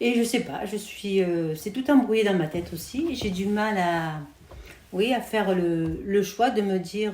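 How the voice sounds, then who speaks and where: In audible room echo, a woman speaks at medium pitch and a fairly slow pace, with ordinary pitch variation. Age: 60s. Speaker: home hairdresser. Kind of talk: casual interview. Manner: hesitant, many fillers.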